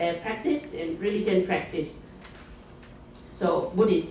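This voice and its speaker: A woman speaks with a Thai accent over light background noise, with audible room echo. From Thailand. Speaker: conference presenter. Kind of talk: conference presentation. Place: meeting room.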